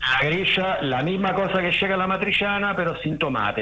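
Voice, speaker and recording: A man with an Italian accent speaks at a moderate pace, his pitch swinging very widely. There is noticeable background noise and audible room echo. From Rome, Italy. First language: Italian (speaking Spanish). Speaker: diving centre owner. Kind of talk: casual radio interview. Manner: halting.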